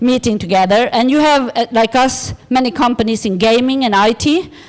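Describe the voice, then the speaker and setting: A woman speaks at a high pitch. Her loudness stays very even. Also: ordinary pitch variation, moderate pace. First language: Swedish. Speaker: design organisation director. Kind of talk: conference presentation. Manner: halting.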